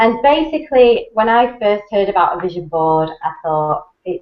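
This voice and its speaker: This is a woman with an English accent. She speaks with lively intonation. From England. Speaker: network marketing presenter. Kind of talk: webinar talk. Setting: online video hangout.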